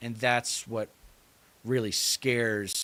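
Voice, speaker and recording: A man talks very slowly with an American accent and fairly even intonation. The recording is very clean, with a silent background. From US East Coast. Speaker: political commentary streamer. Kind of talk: live stream commentary. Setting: live stream, solo.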